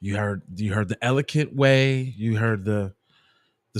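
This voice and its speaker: In a very clean recording with a silent background, a man with a fairly low pitch speaks at a moderate pace with ordinary pitch variation. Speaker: podcast host and commentator. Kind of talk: casual podcast commentary.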